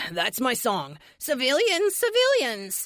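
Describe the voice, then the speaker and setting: A woman speaks in a put-on character voice. Her pitch is high and her pace fairly slow. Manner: mocking.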